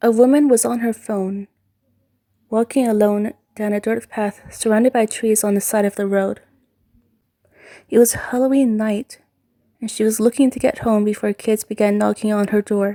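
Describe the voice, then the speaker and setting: A quiet woman's voice, dark and mellow, at a moderate pace with monotone, flat intonation, long, frequent pauses and a dry, close sound with no echo. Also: fairly high pitch for a woman. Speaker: amateur fan fiction writer and reader. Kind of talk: read horror story.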